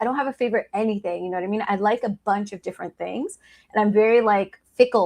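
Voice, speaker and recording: This woman speaks in an ordinary speaking voice with an American accent. Her pace is fairly quick, her pitch is medium, and her pitch variation is ordinary. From US Northeast, New York City (Harlem). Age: 30s. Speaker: attorney, law firm founder. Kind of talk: casual chat.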